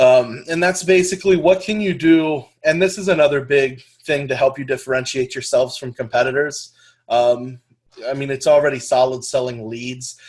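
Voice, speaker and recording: Somewhat breathy, a man talks at a fairly quick pace and a fairly high pitch, with ordinary pitch variation. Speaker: lead generation business trainer. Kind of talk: webinar training presentation. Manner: fast.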